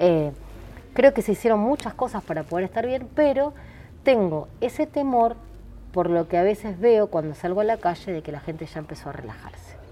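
A woman's voice carries a dark, mellow tone with big swings in loudness and very wide pitch swings. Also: medium pitch for a woman, moderate pace. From Buenos Aires, Argentina (Ramos Mejía). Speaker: doctor and municipal health director. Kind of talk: interview.

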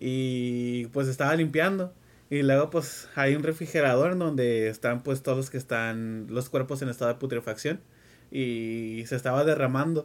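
A man has an ordinary speaking voice with a fairly high pitch and ordinary pitch variation. He talks at a moderate pace in a very clean recording with a silent background. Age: 20s. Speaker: forensic autopsy technician. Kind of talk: casual chat.

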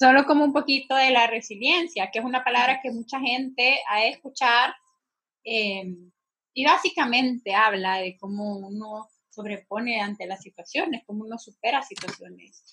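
The loudness swings widely. The pace is moderate. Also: woman, high pitch for a woman, ordinary pitch variation. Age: 20s. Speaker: podcast co-host on mental health. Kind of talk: casual chat.

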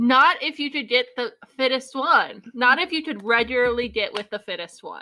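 This woman's voice is high in pitch, with ordinary pitch variation, at a moderate pace. Her loudness swings a lot. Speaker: book podcast co-host. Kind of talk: casual chat.

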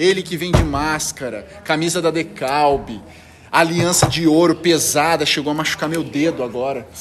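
A man with a fairly high pitch speaks over music in the background. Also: ordinary pitch variation, moderate pace. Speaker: amateur podcast host. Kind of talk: casual chat among friends. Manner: playful, animated.

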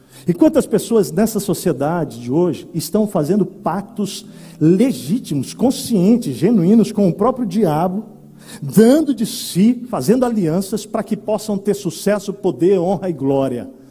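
A man with a high pitch speaks at a fairly slow pace, with lively intonation. His tone is animated, and noticeable background noise is present. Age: 40s. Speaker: pastor. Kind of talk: sermon.

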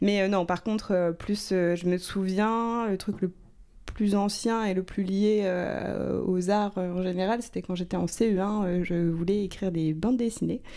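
Recorded very cleanly with a silent background, a woman of medium pitch speaks very slowly in a dark, mellow tone with fairly even intonation. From Normandy, France (Rouen). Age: 30s. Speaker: screenwriter. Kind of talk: interview. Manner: hesitant, many fillers.

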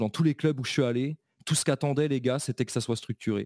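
A plain, everyday voice at a fairly quick pace, dry and close with no echo, on a very clean recording with a silent background. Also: man. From eastern France, Belfort. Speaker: American football coach. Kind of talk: casual interview.

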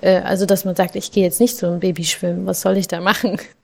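A woman speaks with fairly even intonation. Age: 20s. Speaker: social worker and mother of two. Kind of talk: casual interview. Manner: hesitant, many fillers.

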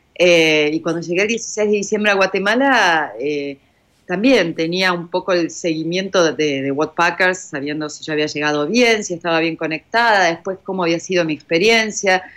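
A woman with a plain, everyday voice talks at a moderate pace in a fairly low pitch with ordinary pitch variation. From Argentina. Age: 50s. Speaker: journalist, volunteer traveler. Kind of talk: interview, personal testimony.

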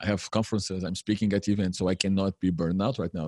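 Speaking in a fairly low pitch with fairly even intonation, a man is heard in a dry, close sound with no echo. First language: Portuguese. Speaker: remote work consultant. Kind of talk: interview.

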